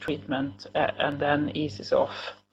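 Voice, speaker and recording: Vocal fry marks this woman's speech, which has ordinary pitch variation. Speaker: cancer nurse and researcher. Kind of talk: lecture. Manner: halting.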